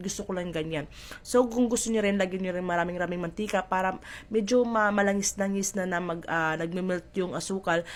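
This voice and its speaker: This speaker has a strong Visayan accent and moves at a fairly quick pace. The tone is playful, with fairly even intonation. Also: woman, medium pitch for a woman. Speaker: cooking vlogger. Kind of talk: cooking tutorial. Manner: chatty, playful.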